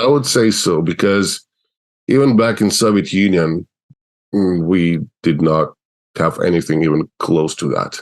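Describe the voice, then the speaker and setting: Very deep and low in pitch, a man with an Eastern European accent speaks at a fairly slow pace with long, frequent pauses, ordinary pitch variation and very even loudness. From Russia. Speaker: animator, video creator. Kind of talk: interview.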